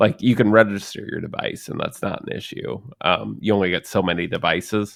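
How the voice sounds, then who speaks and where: In a very clean recording with a silent background, a man with an ordinary speaking voice talks at a moderate pace and a fairly low pitch. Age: 30s. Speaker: podcast co-host. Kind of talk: casual chat.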